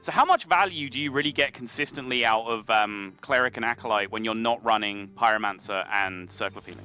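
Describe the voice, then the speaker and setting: Music in the background under a man's medium-pitched voice with ordinary pitch variation at a fairly quick pace. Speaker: esports caster. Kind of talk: live commentary.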